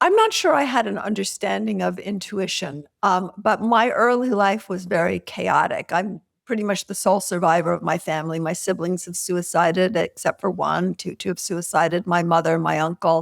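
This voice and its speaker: On a very clean recording with a silent background, a woman speaks at a medium pitch with vocal fry. She keeps a moderate pace with hardly any pauses and ordinary pitch variation. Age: 60s. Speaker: author and intuition teacher. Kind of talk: podcast interview. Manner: halting, many fillers.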